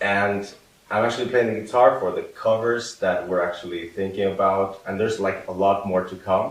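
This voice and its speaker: Amid audible room echo and noticeable background noise, a man speaks fairly quickly. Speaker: audio engineer and guitarist. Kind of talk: casual chat.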